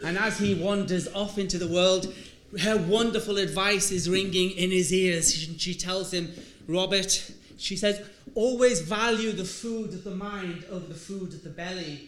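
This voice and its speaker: A man's high voice with fairly even intonation and big swings in loudness, amid audible room echo and noticeable background noise. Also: moderate pace. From Ireland, Donegal. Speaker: lecturer. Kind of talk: lecture.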